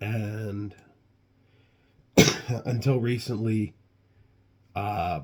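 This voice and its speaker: In a very clean recording with a silent background, a man speaks with a somewhat breathy, fairly low voice and fairly even intonation. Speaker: health vlogger. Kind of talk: casual vlog monologue. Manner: hesitant, many fillers.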